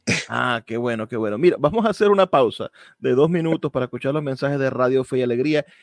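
A man talks at a very fast pace and medium pitch with lively intonation. The sound is dry and close, with no echo. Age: 30s. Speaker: radio host. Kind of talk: radio interview.

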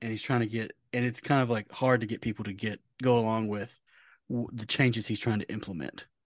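Against a quiet background, a man of medium pitch talks at a fairly quick pace. His intonation is monotone and flat. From Louisiana. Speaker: college football podcast host. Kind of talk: casual chat.

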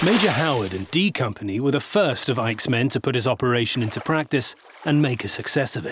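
Over noticeable background noise, a man talks at a very fast pace with a medium pitch and lively intonation. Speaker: documentary narrator. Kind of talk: history documentary narration, scripted and dramatic. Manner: measured, solemn, steady storytelling pace.

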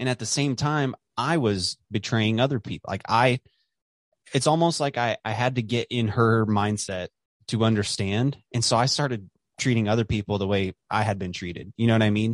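On a very clean recording with a silent background and a dry, close sound with no echo, a man speaks at medium pitch and a moderate pace with ordinary pitch variation. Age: 20s. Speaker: podcaster. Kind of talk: casual chat. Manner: hesitant, many fillers and repetitions.

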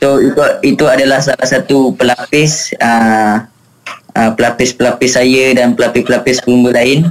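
Amid noticeable background noise, a man speaks at a moderate pace with a medium pitch, monotone, flat intonation and very even loudness. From Malaysia. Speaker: motorcycle racer. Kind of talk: radio interview. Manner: halting, many fillers.

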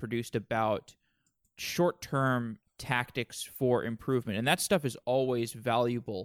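At a fairly slow pace, a man speaks at medium pitch in a plain, everyday voice. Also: dry, close sound with no echo, very clean recording, silent background. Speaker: podcast host. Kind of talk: interview.

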